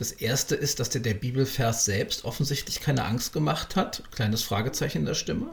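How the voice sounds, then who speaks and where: The pace here is fairly quick. A man delivers it in an unremarkable speaking voice with ordinary pitch variation. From Berlin. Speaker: podcast host. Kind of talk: interview.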